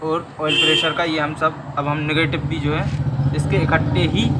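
A man speaks at a fairly slow pace. Loud background noise runs underneath. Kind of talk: tutorial. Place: workshop. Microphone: phone near.

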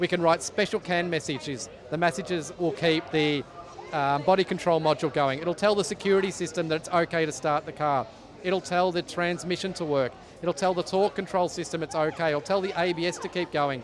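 Fairly even intonation and a fairly quick pace come through a dry sound with no echo, against noticeable background noise. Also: man, high pitch for a man. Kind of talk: interview answer. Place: tent. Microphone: handheld.

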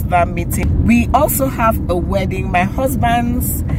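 Loud background noise sits under a dry sound with no echo. The speech moves at a very slow pace. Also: woman. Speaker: vlogger. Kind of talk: casual vlog chat. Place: car. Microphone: phone near.

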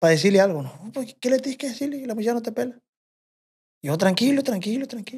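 An extremely high-pitched man talking at a very fast pace with lively intonation, over a quiet background. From Mexico, rural ranch. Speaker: bush pilot and corrido composer; podcast guest. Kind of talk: casual storytelling chat. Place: studio. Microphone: studio mic.

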